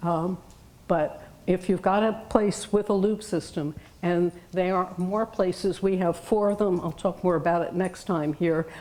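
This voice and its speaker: A woman with an American accent speaks at a fairly slow pace and medium pitch, her intonation fairly even, in a plain, everyday voice. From New York. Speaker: retired teacher and hearing loss advocate. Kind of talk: lecture. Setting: room with audience.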